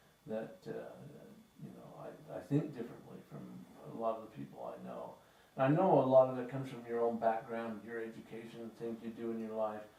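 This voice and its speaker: Against noticeable background noise and audible room echo, a man with a western US accent talks at a fairly quick pace, his loudness swinging widely. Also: medium pitch for a man, ordinary pitch variation. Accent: western American. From northern Utah, US. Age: 70s. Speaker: author. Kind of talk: interview. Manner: halting, many fillers and repeats.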